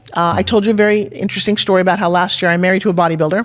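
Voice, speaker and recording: The voice is animated and delivered at a very fast pace. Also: woman. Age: 60s. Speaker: infomercial host and pitch coach. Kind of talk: casual interview chat.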